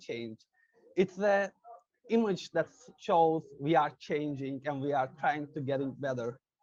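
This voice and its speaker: A man with a Turkish accent talks at a fairly slow pace. His intonation is lively, and the sound is dry and close with no echo. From Turkey. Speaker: interviewer. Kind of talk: interview. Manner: halting, many fillers.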